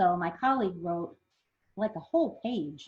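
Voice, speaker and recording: Somewhat breathy and lively in intonation, the voice moves at a fairly slow pace. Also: woman. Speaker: zoo conservation fund manager presenting. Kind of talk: webinar presentation.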